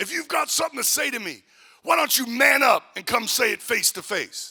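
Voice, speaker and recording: A man shouts in a put-on character voice at an extremely high pitch. His pace is fairly quick. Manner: angry, yelling.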